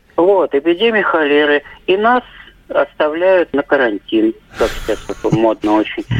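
A man speaks at a fairly slow pace with a high pitch and very wide pitch swings. His long, frequent pauses come through in a dry, close sound with no echo. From Moscow. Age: 50s. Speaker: caller. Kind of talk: phone-in storytelling. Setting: phone call.

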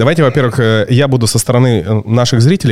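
A man's medium-pitched, fairly quick delivery in a normal speaking voice. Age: 40s. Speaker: podcast host. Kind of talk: casual chat. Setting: studio.

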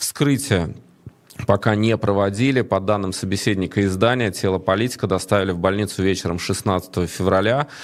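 An unremarkable speaking voice from a man, fairly low in pitch, at a moderate pace and very even loudness. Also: ordinary pitch variation. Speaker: online show host. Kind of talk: live stream talk. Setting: studio.

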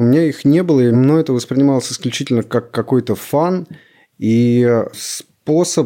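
A man's dark, mellow, medium-pitched voice at a moderate pace with ordinary pitch variation, on a very clean recording with a silent background. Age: 30s. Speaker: creative studio head and writer. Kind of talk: casual chat.

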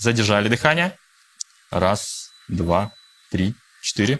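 Very slow pace with lively intonation. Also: man. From Russia. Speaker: coach and mediator. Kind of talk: guided breathing exercise; interview. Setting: studio with live audience.

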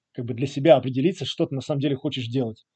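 Fairly high-pitched, somewhat breathy male voice with a dark, mellow tone and a dry, close sound with no echo. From Latvia, Riga. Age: 30s. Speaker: early-retired investor. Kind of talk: interview. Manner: hesitant with frequent fillers.

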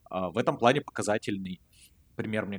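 A man speaks in a very deep, low pitch with ordinary pitch variation. The sound is dry and close, with no echo. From Russia. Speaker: podcast co-host. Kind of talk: casual chat.

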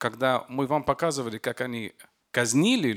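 On a very clean recording with a silent background, a man with an Arabic accent uses lively intonation at a fairly slow pace. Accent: Arabic-accented Russian. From Lebanon. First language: Arabic (speaking Russian). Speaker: film director and war correspondent. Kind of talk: panel discussion.

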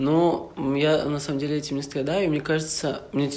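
A man with a fairly high pitch speaks amid audible room echo. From Russian Far East, Vladivostok. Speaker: university student. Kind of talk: casual chat.

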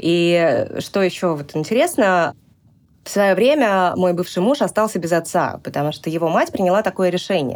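A woman with a normal speaking voice talks at a medium pitch and moderate pace. Her intonation is lively, and the recording is very clean with a silent background. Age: 40s. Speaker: mother sharing personal story. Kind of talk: personal testimony in interview. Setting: studio.

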